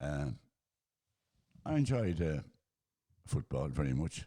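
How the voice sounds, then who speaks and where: A man speaks in a rural Irish accent. His very deep, low pitch has a dark, mellow tone. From Ireland, County Roscommon. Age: 80s+. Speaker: retired sportsman, interviewee. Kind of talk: casual interview, life story.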